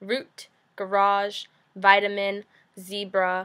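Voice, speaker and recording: Her voice bright and sharp at a medium pitch, a woman talks very slowly. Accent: New Jersey. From US, New Jersey. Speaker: vlogger. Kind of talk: casual vlog, accent challenge. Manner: hesitant, many fillers.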